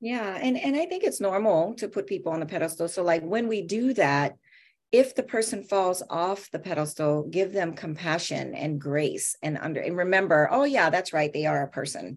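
Against a quiet background, a woman with a plain, everyday voice speaks at a medium pitch and moderate pace with lively intonation. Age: 50s. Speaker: therapist and author. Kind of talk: interview.

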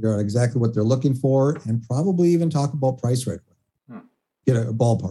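This man has a medium-pitched, somewhat breathy voice with a dark, mellow tone. His pitch varies in an ordinary way. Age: 50s. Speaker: web design agency owner. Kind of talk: interview.

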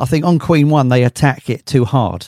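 Heard in a dry, close sound with no echo, the speaker has an English accent and fairly even intonation. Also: man. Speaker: podcast host. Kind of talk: casual interview.

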